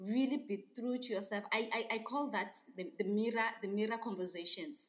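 Somewhat breathy, a woman with a fairly high pitch speaks at a moderate pace with lively intonation. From South Africa, Eastern Cape. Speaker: art entrepreneur. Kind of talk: interview.

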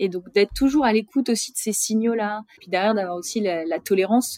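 A woman's fairly high voice with ordinary pitch variation, at a fairly slow pace, in a dry, close sound with no echo. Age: 30s. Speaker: retail commercial policy manager. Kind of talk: interview. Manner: halting, many hesitations.

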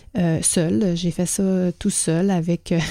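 In a Quebec accent, a woman speaks with a fairly low pitch, a dark, mellow tone and fairly even intonation. The sound is dry and close, with no echo. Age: 40s. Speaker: podcast host and organizational culture consultant. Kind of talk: solo podcast monologue.

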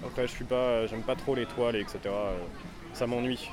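Fairly even intonation carries a man's speech, with noticeable background noise behind it. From France, Paris suburbs (Vitry). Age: 20s. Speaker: graffiti artist. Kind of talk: casual interview.

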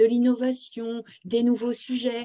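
Very slowly, a woman speaks at a high pitch in a dark, mellow tone. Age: 40s. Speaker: career consultant and author. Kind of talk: interview. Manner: hesitant, repeats words.

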